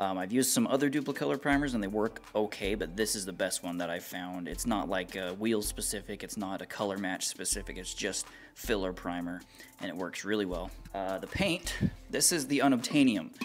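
A man's fairly low-pitched voice at a fairly quick pace, with ordinary pitch variation over light background noise. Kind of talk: casual vlog chat. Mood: lighthearted, joking. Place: garage.

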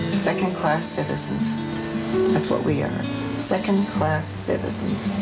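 A woman speaks over loud music in the background. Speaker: interviewee. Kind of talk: interview answer. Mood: earnest, opinionated. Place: home room. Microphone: lapel.

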